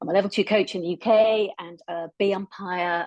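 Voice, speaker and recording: A woman with an English accent and ordinary pitch variation, in a dry, close sound with no echo. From England, Cornwall. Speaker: netball coach. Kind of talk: casual self-introduction on video call.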